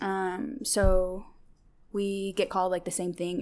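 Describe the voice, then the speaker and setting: Using a General American accent, a woman talks at medium pitch with ordinary pitch variation. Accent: general American, clear enunciation. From Seattle area, US. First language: Tigrinya. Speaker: guest. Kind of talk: casual chat.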